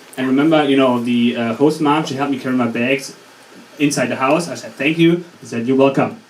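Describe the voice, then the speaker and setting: A man with a German accent speaks at a very fast pace, medium in pitch with ordinary pitch variation, over noticeable background noise and audible room echo. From Germany. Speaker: student comedian. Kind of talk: stand-up. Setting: stage with audience. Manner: halting.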